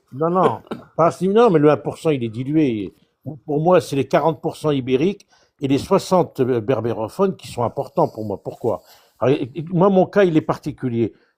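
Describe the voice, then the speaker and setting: Fairly high-pitched male speech with lively intonation at a moderate pace. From France, Indre-et-Loire (Touraine). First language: Chaoui Berber (speaking French). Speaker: debate participant. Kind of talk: casual debate. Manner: halting.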